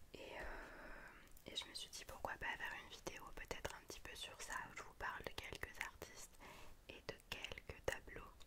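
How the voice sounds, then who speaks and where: A soft-spoken whisper. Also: woman, fairly slow pace. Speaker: ASMR video creator. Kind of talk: soft casual vlog chat. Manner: soft ASMR whisper into microphone. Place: home room. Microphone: studio mic.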